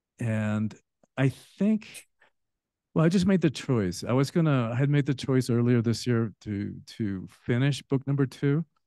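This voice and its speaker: A man with a Spanish accent talks at a medium pitch. He leaves long, frequent pauses. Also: lively intonation, moderate pace. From Spanish-speaking country, then US from age 10. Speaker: author and transformation coach. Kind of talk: podcast interview. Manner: halting, with fillers.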